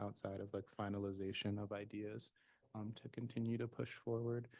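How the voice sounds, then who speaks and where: The voice is soft-spoken, with a dark, mellow tone. Its intonation stays monotone and flat. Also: man. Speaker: commission member. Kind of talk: public meeting discussion. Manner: halting.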